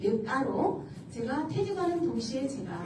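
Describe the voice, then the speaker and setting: A woman's voice swings very widely in pitch, with audible room echo and noticeable background noise. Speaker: school employee and elder-care center operator. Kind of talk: motivational talk to an audience. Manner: casual, interactive.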